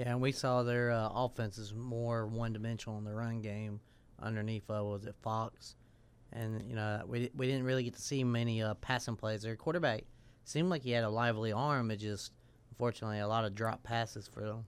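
In a Southern US accent, a man talks at a fairly quick pace and a medium pitch with fairly even intonation, on a very clean recording with a silent background. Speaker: radio sports show co-host. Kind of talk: casual radio talk. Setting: radio studio.

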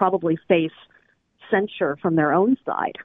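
This is a normal speaking voice at a moderate pace. The pitch variation is ordinary. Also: woman. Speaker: historical novelist. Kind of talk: interview.

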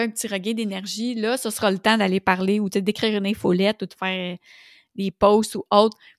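With a Quebec accent, a woman speaks at a moderate pace and medium pitch with fairly even intonation, in a very clean recording with a silent background and a dry, close sound with no echo. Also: big swings in loudness. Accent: Québécois French. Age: 40s. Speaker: business coach and podcast host. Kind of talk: solo podcast monologue. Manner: casual, conversational with frequent fillers.

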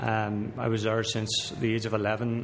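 With a Northern Irish accent, a man talks at a moderate pace and medium pitch, with audible room echo and noticeable background noise. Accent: Northern Irish (Belfast). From Belfast, Northern Ireland. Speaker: professional footballer. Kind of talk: casual chat. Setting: sports restaurant.

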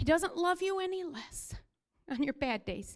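An animated, loud woman with an extremely high voice speaks at a fairly slow pace, her pitch swinging very widely. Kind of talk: sermon. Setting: church.

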